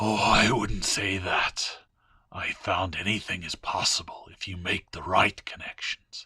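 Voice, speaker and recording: A man puts on a raspy character voice with a fairly low pitch. He delivers it at a fairly slow pace. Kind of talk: audio story reading. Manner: taunting, sly.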